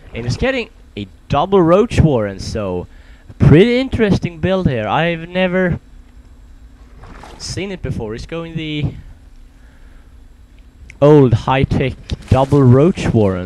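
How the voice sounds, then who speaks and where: A man's fairly high voice at a fairly slow pace, with very wide pitch swings, long, frequent pauses and noticeable background noise. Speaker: esports commentator. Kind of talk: game commentary.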